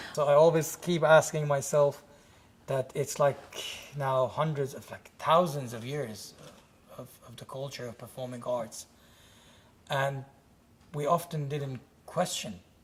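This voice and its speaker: With an Iranian accent, a man speaks at a fairly slow pace and fairly high pitch, somewhat breathy, with long, frequent pauses, fairly even intonation and big swings in loudness. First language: Farsi. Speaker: playwright and director. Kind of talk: interview.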